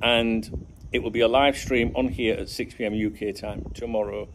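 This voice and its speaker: A man speaks in an ordinary speaking voice, fairly low in pitch with ordinary pitch variation, over light background noise. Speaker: football channel vlogger. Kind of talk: casual vlog chat. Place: garden. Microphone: phone near.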